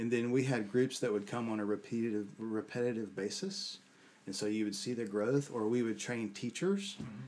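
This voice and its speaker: A man speaks at a fairly quick pace in a normal speaking voice. His medium pitch has ordinary variation. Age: 50s. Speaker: leadership coach. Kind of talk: casual interview.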